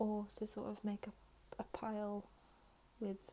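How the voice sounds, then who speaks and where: Soft-spoken, a woman talks at a fairly slow pace. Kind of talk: ASMR talking Q&A to camera.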